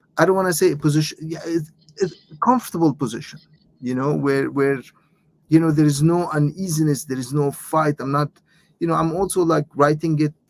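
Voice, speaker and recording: Speaking fairly quickly with an Arabic accent, the man has a fairly high pitch and fairly even intonation. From Lebanon. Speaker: author and professor. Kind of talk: interview. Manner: halting, many repetitions.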